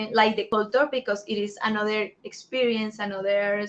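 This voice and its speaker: A woman talks with a fairly high pitch and fairly even intonation. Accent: Spanish. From Colombia. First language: Spanish. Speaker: assistant and Spanish interpreter. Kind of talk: live Q&A stream. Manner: hesitant, with many fillers.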